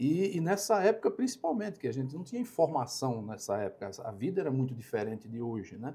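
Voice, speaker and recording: A man talks at a very fast pace in a dark, mellow tone. His somewhat breathy voice shows very wide pitch swings. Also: fairly high pitch for a man. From Brazil, Alagoas interior. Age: 60s. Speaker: company operations director. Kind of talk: podcast interview. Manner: halting, with many fillers and repetitions.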